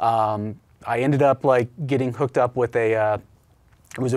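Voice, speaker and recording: A man speaks with a Midwestern American accent and fairly even intonation. The background is quiet. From Indiana (Richmond); Indiana. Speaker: business owner; guest. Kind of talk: interview. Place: studio. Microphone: lapel.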